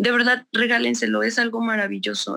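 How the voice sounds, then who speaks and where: A woman speaks in a bright, sharp tone with vocal fry. The recording is very clean, with a silent background. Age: 30s. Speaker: construction company employee. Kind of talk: testimony.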